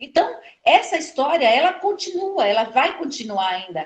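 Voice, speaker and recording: Speaking at a moderate pace in a Pernambuco accent, the voice makes very wide pitch swings. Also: woman. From Pernambuco, northeast Brazil. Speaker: historian and educator. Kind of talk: interview conversation. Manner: halting, many fillers.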